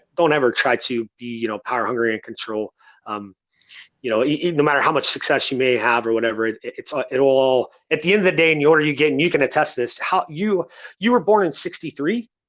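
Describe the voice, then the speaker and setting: A man talks at a very fast pace, his pitch fairly high. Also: lively intonation. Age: 30s. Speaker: podcast host. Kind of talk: casual interview. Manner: halting.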